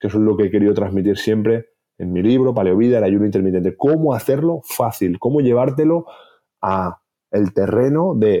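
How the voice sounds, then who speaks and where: Here is a man with an unremarkable speaking voice, fairly low in pitch. He talks at a moderate pace with lively intonation. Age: 40s. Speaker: health author and clinician. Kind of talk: interview.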